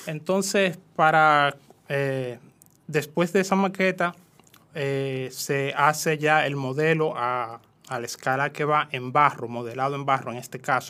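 A man speaks in a bright, sharp tone at a fairly high pitch. He goes at a fairly slow pace with ordinary pitch variation. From Dominican Republic, rural San Cristóbal. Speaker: painter and visual artist. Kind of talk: interview. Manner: hesitant, many fillers.

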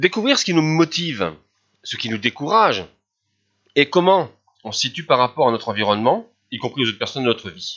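A man at a fairly quick pace and fairly high pitch, with very wide pitch swings and long, frequent pauses. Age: 50s. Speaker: life coach. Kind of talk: solo podcast monologue.

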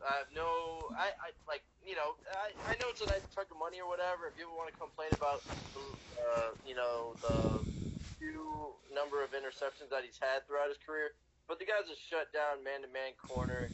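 Noticeable background noise sits behind a man speaking at a moderate pace. His pitch is fairly high with ordinary variation. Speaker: sports podcast co-host. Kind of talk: casual chat. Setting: phone call. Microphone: on speakerphone.

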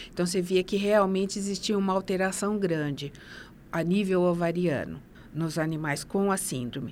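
Pitch varies in an ordinary way as the delivery holds a moderate pace. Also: woman, medium pitch for a woman. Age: 50s. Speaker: nurse and master's graduate. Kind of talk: interview. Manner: halting, many fillers.

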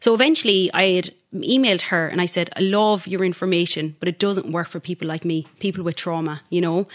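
A woman's fairly low voice at a fairly quick pace, with fairly even intonation. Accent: Irish. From Ireland. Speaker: podcaster and life coach. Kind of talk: interview, personal testimony.

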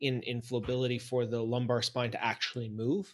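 A man's medium-pitched voice at a moderate pace. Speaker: podcast host. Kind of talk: casual interview.

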